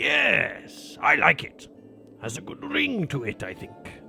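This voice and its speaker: A man puts on a raspy character voice and speaks very slowly. Clear music plays in the background. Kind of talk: fantasy saga dialogue. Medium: read story. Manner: hearty, loud, laughing.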